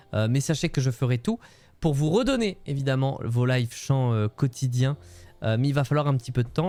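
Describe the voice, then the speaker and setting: A man's medium-pitched voice with ordinary pitch variation, music playing behind him. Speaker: Twitch streamer. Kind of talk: casual livestream chat. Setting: home room, livestream. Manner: many filler hesitations.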